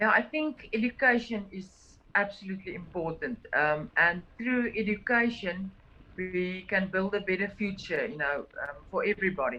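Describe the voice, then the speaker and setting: A woman with an Afrikaans South African accent talks at a moderate pace and medium pitch, her intonation lively. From South Africa, Klein Karoo (Oudtshoorn). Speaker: cyclist on a charity ride. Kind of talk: interview. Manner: halting.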